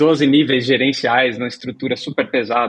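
The man's intonation stays monotone and flat. He keeps to a moderate pace. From Brazil, moved around (Santa Catarina, Minas, São Paulo). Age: 40s. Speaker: tech company CEO. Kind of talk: interview.

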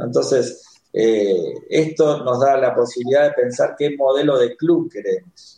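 Dark, mellow tone from a man, pitched fairly high, with ordinary rises and falls. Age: 40s. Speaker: coach. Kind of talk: casual chat.

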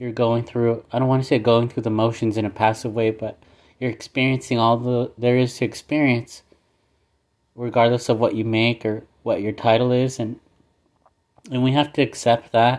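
Speaking at a moderate pace, the man keeps a medium pitch and a monotone, flat intonation. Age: 30s. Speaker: solo podcaster. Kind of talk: personal monologue. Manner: reflective, casual.

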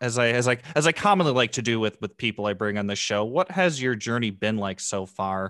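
With an ordinary speaking voice, a man at medium pitch talks at a moderate pace with lively intonation, the sound dry and close with no echo over a quiet background. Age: 20s. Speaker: podcast host. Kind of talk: scripted intro; interview.

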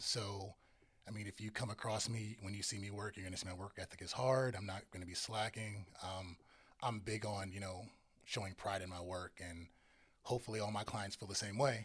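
Speaking with an American accent, a man uses a fairly low pitch and fairly even intonation in a somewhat breathy voice. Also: fairly quick pace. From Northern Virginia. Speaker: photographer and content creator. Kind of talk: casual interview chat.

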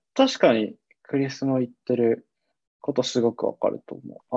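At a moderate pace, a man talks in a dry, close recording with no echo. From Tochigi, Japan. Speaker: podcast host. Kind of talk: casual chat.

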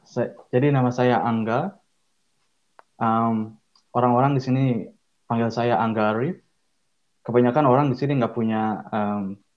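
At a moderate pace and a medium pitch, a man speaks with fairly even intonation, big swings in loudness and long, frequent pauses. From Indonesia, Bandung (West Java). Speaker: structural designer. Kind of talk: casual interview. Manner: halting, many fillers.

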